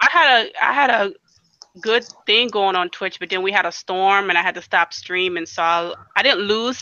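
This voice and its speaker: An ordinary speaking voice from a woman at a medium pitch, a moderate pace and ordinary pitch variation. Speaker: streamer and reef tank hobbyist. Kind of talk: casual chat.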